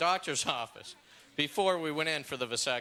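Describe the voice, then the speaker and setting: Speaking very fast in an American accent, a man with a fairly high pitch has a bright, sharp tone on a very clean recording with a silent background. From Los Angeles, California. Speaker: stand-up comedian. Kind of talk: stand-up comedy set.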